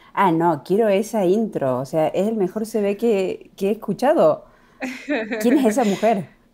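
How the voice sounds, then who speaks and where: A woman with an Argentine accent speaks at a fairly slow pace in a dark, mellow tone, her medium pitch carried by lively intonation at a very even loudness. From Argentina. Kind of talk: interview.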